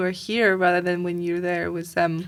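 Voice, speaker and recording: Medium pitch in a woman's voice. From Ukraine. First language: Ukrainian. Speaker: refugee interviewee. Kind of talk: podcast interview. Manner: halting.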